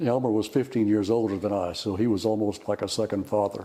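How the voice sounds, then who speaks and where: At a moderate pace, a man with a medium pitch talks with a Texas accent. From Texas, Houston area (Addicks). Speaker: retired dairy farmer. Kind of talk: oral history interview. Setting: fellowship hall. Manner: halting, repeats words.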